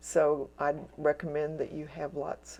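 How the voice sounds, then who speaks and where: With a dark, mellow tone and a very deep, low pitch, a woman talks at a fairly slow pace. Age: 70s. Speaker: watercolor teacher. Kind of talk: painting tutorial. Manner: casual, meandering with many fillers.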